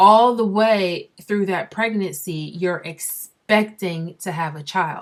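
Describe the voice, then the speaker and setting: Using ordinary pitch variation, a woman with an American accent speaks at a medium pitch. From Barbados. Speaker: vlogger. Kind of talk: casual vlog monologue. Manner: conversational.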